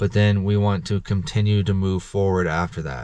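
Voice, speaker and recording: A man's very deep, low voice at a moderate pace, dry with no echo. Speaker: vlogger sharing faith reflections. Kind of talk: casual vlog sermon-like talk. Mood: earnest, encouraging. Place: car. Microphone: phone near.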